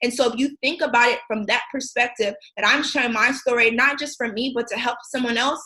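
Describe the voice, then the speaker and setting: A woman with an American accent speaks at a fairly quick pace in a high pitch, her tone bright and sharp. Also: fairly even intonation. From US Midwest, Racine, Wisconsin. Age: 20s. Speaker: motivational speaker. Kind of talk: motivational talk. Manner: hesitant with frequent ums.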